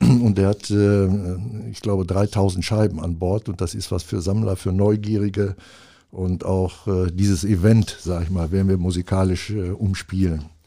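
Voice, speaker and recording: A man speaks with a very deep, low pitch and a dark, mellow tone, his intonation fairly even. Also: moderate pace. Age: 70s. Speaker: music event organiser. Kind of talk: casual interview. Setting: studio.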